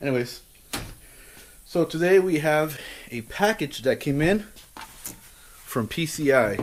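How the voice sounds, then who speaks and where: A man's voice at a fairly high pitch. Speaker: car enthusiast video host. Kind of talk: casual tutorial vlog. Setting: garage. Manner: casual, repetitive fillers.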